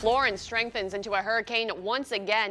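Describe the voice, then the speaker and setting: A woman speaks at a moderate pace in a fairly high pitch. Music plays in the background. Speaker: television news reporter and anchor. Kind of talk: studio news anchor read and live shots.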